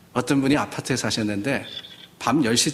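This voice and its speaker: An unremarkable speaking voice from a man, medium in pitch with ordinary pitch variation. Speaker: pastor. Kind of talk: sermon. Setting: church.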